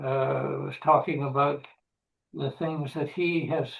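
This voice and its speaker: Intonation stays fairly even as a man talks very slowly. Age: 80s+. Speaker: audience member. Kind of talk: audience question. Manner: halting.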